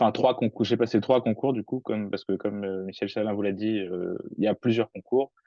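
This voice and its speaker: Intonation stays fairly even in an unremarkable speaking voice. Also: man. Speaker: engineering student. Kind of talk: webinar talk.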